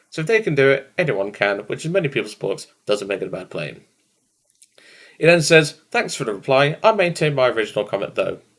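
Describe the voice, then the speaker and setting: With vocal fry and very wide pitch swings, a man speaks at a fairly quick pace and a fairly high pitch on a very clean recording with a silent background. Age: 20s. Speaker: gaming YouTuber. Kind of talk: casual commentary reading out comments. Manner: fast.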